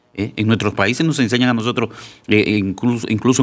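A man's normal speaking voice, medium in pitch with ordinary pitch variation, on a very clean recording against a silent background. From Dominican Republic (Santiago). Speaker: deacon. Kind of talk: radio talk show. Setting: studio.

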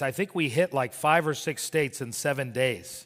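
A man has an unremarkable speaking voice with an American accent and a fairly high pitch. He talks at a moderate pace with ordinary pitch variation. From Miami, Florida. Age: 50s. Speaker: pastor. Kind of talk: sermon.

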